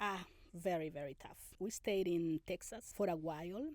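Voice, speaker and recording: A dark, mellow tone at a fairly slow pace, in a Spanish accent. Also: woman. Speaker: immigrant interviewee. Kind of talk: interview. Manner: halting.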